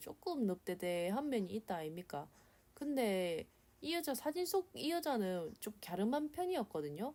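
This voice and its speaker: A woman with a Gyeongsang accent speaks at a moderate pace and a fairly high pitch. Her tone is dark and mellow, with very wide pitch swings. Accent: Korean regional dialect (Gyeongsang-style). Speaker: illustrator. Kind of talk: drawing tutorial voice-over. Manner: casual, nervous.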